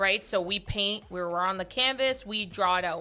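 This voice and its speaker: Moderate pace over music in the background. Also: woman. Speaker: podcast host. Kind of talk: casual chat. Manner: loud.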